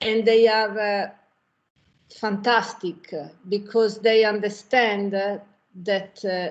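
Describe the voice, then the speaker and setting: This woman speaks very slowly with an Italian accent, her fairly high voice held in a monotone, flat intonation. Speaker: restaurant owner. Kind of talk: panel discussion. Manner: halting.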